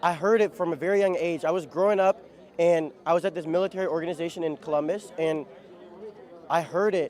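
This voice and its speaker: Against crowd noise in the background, a man with a Midwestern accent and a high pitch talks at a fairly quick pace with ordinary pitch variation. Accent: American Midwest. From Ohio, US Midwest. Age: 20s. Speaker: bagpiper. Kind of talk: casual interview.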